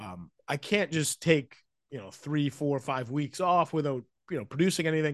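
Against a quiet background, a man with a plain, everyday voice speaks at a moderate pace and fairly high pitch, his intonation lively and his loudness swinging widely. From Vancouver, Canada. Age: 40s. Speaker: sports journalist. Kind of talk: casual interview. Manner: conversational, filler words.

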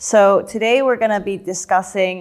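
In a very clean recording with a silent background, a woman uses an ordinary speaking voice at medium pitch and a moderate pace. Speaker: podcast host. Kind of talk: interview conversation.

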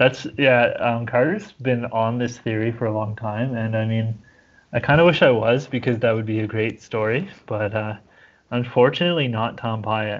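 This man has a normal speaking voice with medium pitch, fairly even intonation and a moderate pace. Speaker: podcast guest, sports fan. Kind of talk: casual chat.

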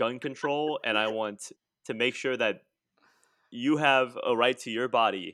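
A man speaks at a fairly slow pace with long, frequent pauses and fairly even intonation. His tone is bright and sharp, the sound dry and close with no echo, over a quiet background. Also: medium pitch for a man. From South Louisiana. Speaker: comedian. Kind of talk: casual chat.

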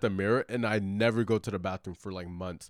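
A man with a normal speaking voice talks at a fairly quick pace with ordinary pitch variation, in a dry, close sound with no echo and a very clean recording over a silent background. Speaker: podcast guest. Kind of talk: casual chat.

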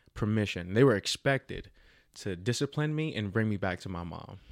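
A man with a slight New Jersey accent and a fairly low pitch speaks at a moderate pace in a very clean recording with a silent background. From Jersey City, New Jersey. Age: 30s. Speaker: young adult minister. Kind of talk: casual interview, personal testimony.

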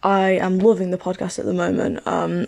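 A woman speaks with a British accent. Her pitch is medium. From Britain. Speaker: podcast listener. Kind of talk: voice message. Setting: recorded voice note.

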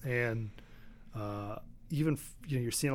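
This man has an unremarkable speaking voice with a medium pitch. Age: 50s. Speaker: former baseball hitting coach. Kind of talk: casual chat. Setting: studio.

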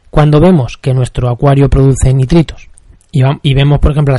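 Fairly high-pitched yet dark and mellow in tone, a man's somewhat breathy voice moves at a fairly quick pace. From Spain, La Mancha. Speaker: podcast host, aquarium hobbyist. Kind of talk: solo podcast tutorial. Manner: halting, frequent repetitions.

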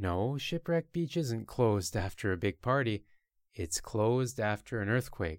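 A man with a Canadian accent has an ordinary speaking voice at a medium pitch, with lively intonation and a fairly slow pace. The recording is very clean, with a silent background. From Canada. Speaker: language teacher podcaster. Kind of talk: language lesson for beginners. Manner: slow and clear.

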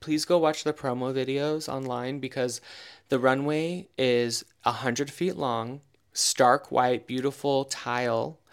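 An unremarkable speaking voice with an American accent moves at a fairly slow pace with fairly even intonation, on a very clean recording with a silent background. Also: man, medium pitch for a man. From Eastern Oregon, US. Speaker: leather designer and podcast co-host. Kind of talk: casual chat.

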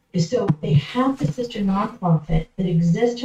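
Somewhat breathy speech in an American accent, fairly slow with lively intonation. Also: woman. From Massachusetts, outside Boston. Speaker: nonprofit consultant. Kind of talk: podcast interview.

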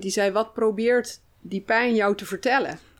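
Medium pitch from a woman, delivered in a flat monotone. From Brabant, Netherlands. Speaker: food psychologist. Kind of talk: casual interview.

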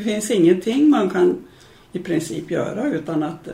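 A woman speaks fairly slowly with vocal fry and a dark, mellow tone. Her intonation is lively, and room echo is audible. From Sweden, Medelpad (central Norrland inland). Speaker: retired adult education organiser. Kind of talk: interview, life story.

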